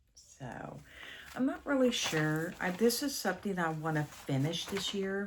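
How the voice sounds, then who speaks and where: Audible room echo carries a woman's medium-pitched voice as she speaks at a fairly slow pace with very wide pitch swings. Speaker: cross-stitch vlogger. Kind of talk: casual chat.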